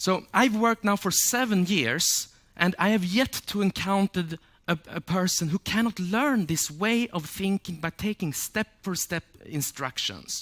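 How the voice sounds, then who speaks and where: A man with a Swedish accent speaks high-pitched and fairly slowly with ordinary pitch variation, in a dry, close sound with no echo on a very clean recording with a silent background. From Sweden. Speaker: memory champion and speaker. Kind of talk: public talk.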